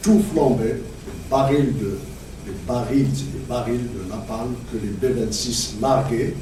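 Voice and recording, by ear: In a room with audible echo, a man of medium pitch speaks fairly slowly with ordinary pitch variation.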